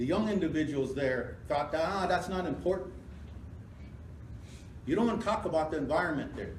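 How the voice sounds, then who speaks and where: Amid noticeable background noise, a man with a high pitch and ordinary pitch variation speaks at a moderate pace, with long, frequent pauses. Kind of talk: public hearing speech.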